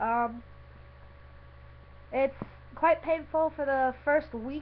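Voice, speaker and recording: Speaking at a very slow pace, a woman has a high pitch. Her intonation stays fairly even. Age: 20s. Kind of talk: casual talk to camera.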